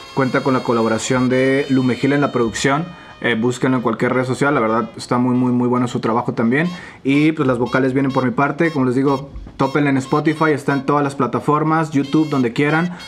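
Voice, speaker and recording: A man at a medium pitch, fairly quick and fairly even in intonation, his loudness very even, with music in the background. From Mexico, moved between many states. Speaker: rapper. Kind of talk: casual chat.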